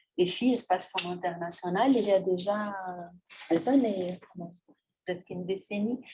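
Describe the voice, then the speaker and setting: Speaking in a Portuguese accent, a woman has a medium pitch and a dark, mellow tone. Her voice is somewhat breathy, with ordinary pitch variation. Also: fairly slow pace. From Brazil. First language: Portuguese (speaking French). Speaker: agronomist, feminist NGO director. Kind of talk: panel talk. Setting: public event with live and online audience. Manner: hesitant, frequent fillers.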